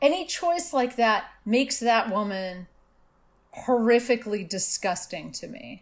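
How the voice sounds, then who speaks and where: A woman has a plain, everyday voice, fairly high in pitch with lively intonation and big swings in loudness. She speaks at a fairly slow pace on a very clean recording with a silent background. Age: 50s. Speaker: author. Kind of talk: casual interview conversation.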